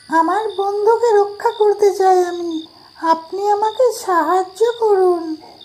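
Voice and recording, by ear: A cartoonish character voice at an extremely high pitch, spoken at a fairly slow pace.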